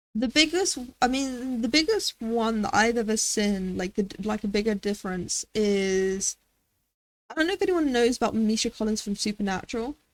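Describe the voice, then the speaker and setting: A woman with a British accent, fairly high in pitch, at a moderate pace with lively intonation, in a dry, close sound with no echo. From Britain. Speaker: streamer. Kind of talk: casual chat. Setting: live stream. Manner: loud; halting.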